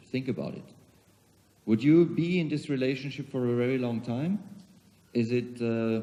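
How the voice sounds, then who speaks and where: With a German accent, a man talks at a moderate pace in a medium pitch, using ordinary pitch variation. His tone is dark and mellow, and he takes long, frequent pauses. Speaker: CEO of a global organization, keynote speaker. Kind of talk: conference keynote speech. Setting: conference hall with audience.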